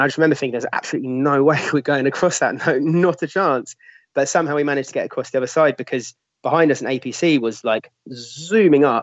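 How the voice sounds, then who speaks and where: Speaking at a very fast pace in a London accent, a man uses a fairly high pitch with ordinary pitch variation. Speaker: newspaper editor and former volunteer fighter. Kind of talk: interview.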